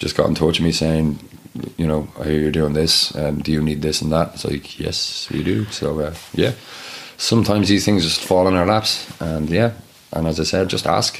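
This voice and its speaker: A man's very deep, low voice at a moderate pace, with ordinary pitch variation and noticeable background noise. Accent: Dublin. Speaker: charity co-founder and aid worker. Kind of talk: casual interview chat.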